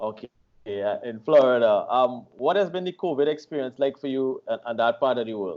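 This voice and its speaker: With a plain, everyday voice, this man's pitch sits mid-range. His speech runs at a fairly quick pace, and his pitch varies in an ordinary way. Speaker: online radio host. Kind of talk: interview questions, casual talk.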